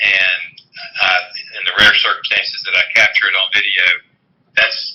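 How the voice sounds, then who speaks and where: Spoken in a Southern US accent at a moderate pace, the voice holds a very even loudness and has long, frequent pauses. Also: man. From US South. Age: 60s. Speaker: lawyer and bird hunter. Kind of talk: podcast interview.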